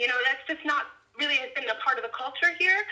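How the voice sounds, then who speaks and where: An American accent in a woman's raised, projected voice, with very wide pitch swings. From Baltimore, Maryland. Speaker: climate justice organizer. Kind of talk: interview.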